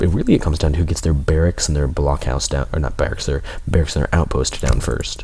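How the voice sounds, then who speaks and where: A soft-spoken man talks at a very fast pace. Noticeable background noise runs underneath. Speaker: game commentator. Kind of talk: live commentary. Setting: livestream.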